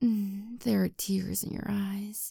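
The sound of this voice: Putting on a character voice, a woman speaks at a slow pace in a medium pitch with fairly even intonation, a dark, mellow tone, a slightly husky edge and vocal fry, in a very clean recording with a silent background.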